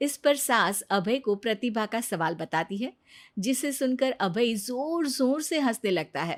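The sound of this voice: A woman's fairly high voice with lively intonation at a fairly slow pace, on a very clean recording with a silent background.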